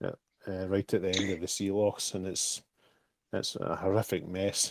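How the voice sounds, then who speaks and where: With a Scottish accent, a man speaks at a moderate pace in a very deep, low pitch and a monotone, flat intonation. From Scotland. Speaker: crypto project team member. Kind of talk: casual chat.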